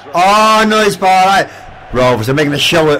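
Shouting in an Irish accent, a man speaks at a high pitch with lively intonation. He keeps a moderate pace over noticeable background noise. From Ireland. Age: 70s. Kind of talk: casual commentary while playing a video game. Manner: excitable, frequently shouting.

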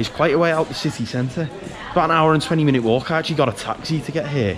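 A man talking very fast over noticeable background noise. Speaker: travel vlogger. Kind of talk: casual vlog chat. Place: market. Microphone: phone near.

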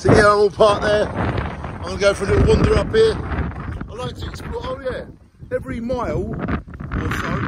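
This man talks at a moderate pace. Loud background noise surrounds a dry sound with no echo. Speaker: travel vlogger. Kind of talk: casual vlog chat. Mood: cheerful, enthusiastic. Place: open country. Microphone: phone near.

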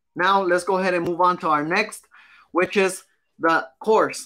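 A raised, projected voice from a man, high in pitch with a bright, sharp tone. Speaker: business coach. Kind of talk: live stream course. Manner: fast; animated. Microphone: webcam.

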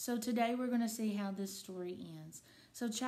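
Someone reads the text aloud in a natural voice.

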